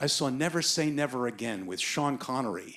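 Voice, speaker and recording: A man's voice with vocal fry on a very clean recording with a silent background. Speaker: storyteller and voice actor. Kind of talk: live storytelling, personal anecdote. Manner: comedic, self-deprecating.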